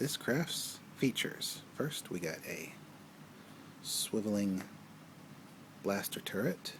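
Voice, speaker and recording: Soft-spoken and very slow, a man talks with lively intonation and long, frequent pauses. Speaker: toy reviewer. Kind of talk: product review. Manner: casual.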